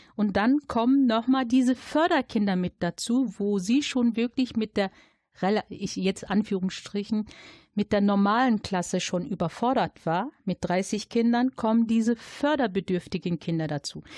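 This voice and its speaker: A woman speaks slowly, at a fairly high pitch, with a somewhat breathy voice and ordinary pitch variation. The sound is dry and close with no echo, over a quiet background. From Germany, Dortmund (Ruhr area). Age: 40s. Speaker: local election candidate and social worker. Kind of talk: interview.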